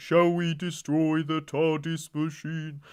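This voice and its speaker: A man uses a put-on character voice, speaking at a fairly slow pace with monotone, flat intonation. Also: fairly high pitch for a man. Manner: menacing.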